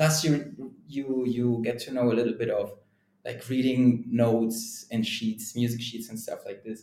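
This man has a German accent and a medium pitch, with a dark, mellow tone that is somewhat breathy. He talks at a moderate pace with fairly even intonation. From Germany. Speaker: sales and marketing leader, drummer. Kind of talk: casual interview. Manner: conversational, many fillers.

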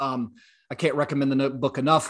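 The speaker is a man with a Southern US accent. His pitch is fairly high. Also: quiet background. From US South, South Louisiana. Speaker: podcast host. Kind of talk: interview conversation.

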